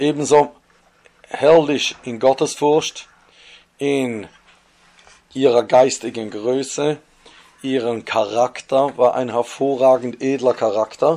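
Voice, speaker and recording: In a Swiss accent, a man talks at a very slow pace with long, frequent pauses, a medium pitch and fairly even intonation. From Switzerland. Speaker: religious storyteller. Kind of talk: storytelling. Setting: home recording.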